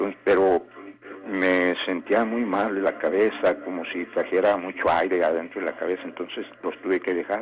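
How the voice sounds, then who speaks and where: A man talks at a moderate pace while noticeable background noise plays. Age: 60s. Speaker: radio caller. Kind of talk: phone-in call. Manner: halting.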